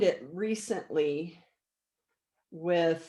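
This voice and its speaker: Its tone is dark and mellow. The intonation moves in a lively way. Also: woman. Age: 60s. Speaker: energy healer. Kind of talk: interview.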